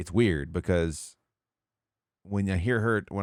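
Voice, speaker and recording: In a Southern US accent, a man talks at a fairly slow pace, with a dry, close sound and no echo. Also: very clean recording, silent background. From US South. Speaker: podcast host and streamer. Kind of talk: casual chat.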